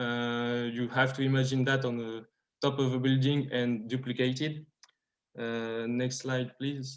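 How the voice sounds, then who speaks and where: Against a quiet background, a man speaks at a medium pitch in a French accent. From France. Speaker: startup founder. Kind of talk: pitch presentation. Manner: halting, many fillers.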